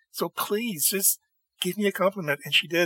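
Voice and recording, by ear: A man's high-pitched voice, bright and sharp in tone with a slightly husky edge, ordinary pitch variation, a moderate pace, and a dry, close sound with no echo.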